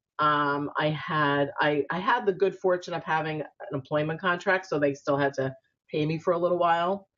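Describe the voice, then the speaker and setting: A woman talks in a New York accent at a very deep, low pitch. Her pace is moderate and her pitch variation ordinary. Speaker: spiritual entrepreneur and author. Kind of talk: interview. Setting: video call.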